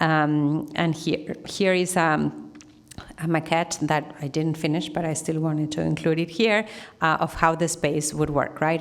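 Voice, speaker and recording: With noticeable background noise, a woman with a very deep, low pitch talks at a moderate pace and with fairly even intonation. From Argentina. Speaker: artist. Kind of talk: Q&A answer; lecture.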